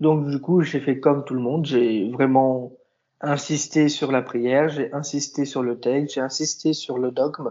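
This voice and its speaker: Talking at a moderate pace, a man with an unremarkable speaking voice has a fairly high pitch. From southern France. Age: 20s. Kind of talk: interview.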